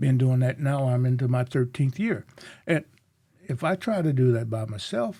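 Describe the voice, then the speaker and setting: This man has a medium-pitched, dark, mellow voice that is somewhat breathy, with ordinary pitch variation at a moderate pace. The recording is very clean, with a silent background. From US South. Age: 70s. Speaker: community leader and speaker. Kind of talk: interview conversation.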